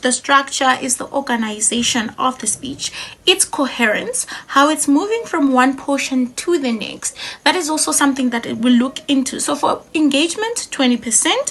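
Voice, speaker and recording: Over noticeable background noise, a woman talks at a moderate pace. Her pitch is high and her intonation lively. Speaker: public speaking trainer. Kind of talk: tutorial.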